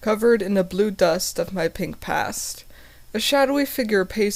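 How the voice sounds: Someone's natural reading voice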